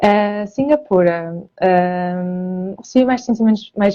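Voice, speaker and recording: A woman's voice at a medium pitch. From northern Portugal, Porto. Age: 30s. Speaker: emigrant interviewee, self-employed marketer. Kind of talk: interview. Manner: hesitant, many fillers.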